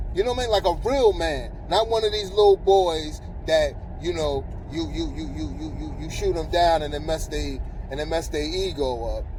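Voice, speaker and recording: A man talks at a moderate pace. Behind him, background noise is noticeable. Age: 40s. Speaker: vlogger. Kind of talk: casual monologue. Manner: stammering, repeats words; animated.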